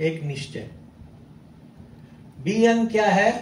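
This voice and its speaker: Lively intonation marks a man's speech, heard with audible room echo. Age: 70s. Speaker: company chairman. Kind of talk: motivational talk to audience.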